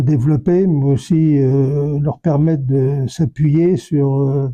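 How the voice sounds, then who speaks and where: Slowly, at a very slow pace, a man with a fairly high pitch and fairly even intonation speaks in a dark, mellow, somewhat breathy tone. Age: 80s+. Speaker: retired army officer. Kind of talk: interview testimony. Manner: halting, many hesitations.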